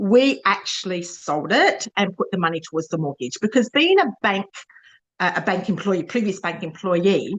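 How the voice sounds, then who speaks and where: Fairly quick speech from a woman with an Australian accent. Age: 60s. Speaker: direct sales manager. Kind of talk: webinar presentation. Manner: casual, chatty.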